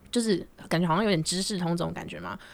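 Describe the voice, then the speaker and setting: A woman is speaking. Her pace is fairly quick. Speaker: podcast co-host, university student. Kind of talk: casual chat.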